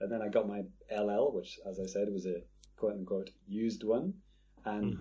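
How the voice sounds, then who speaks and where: A man's ordinary speaking voice, fairly low in pitch, at a moderate pace. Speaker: gamer living in Japan. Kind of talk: casual chat.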